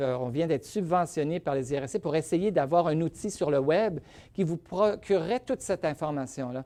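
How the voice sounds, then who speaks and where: A man talks at a moderate pace in a dark, mellow tone. His pitch sits fairly high, with ordinary variation. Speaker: rheumatologist. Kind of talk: lecture.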